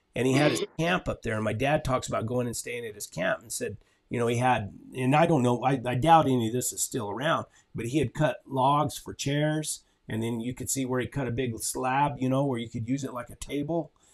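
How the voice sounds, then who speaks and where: In an American accent, a man speaks at a medium pitch and fairly quick pace, with ordinary pitch variation. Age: 60s. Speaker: channel host, horseman. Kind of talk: casual chat. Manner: halting.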